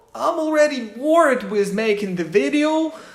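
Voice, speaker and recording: A woman's high-pitched voice with a non-native accent, at a very slow pace, with very wide pitch swings, audible room echo and noticeable background noise. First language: not English. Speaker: YouTuber. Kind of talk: personal vlog monologue.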